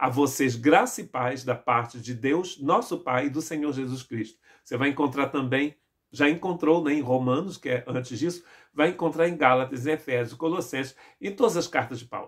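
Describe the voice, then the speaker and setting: A man at a fairly high pitch, moderate pace and ordinary pitch variation. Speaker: pastor. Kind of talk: sermon.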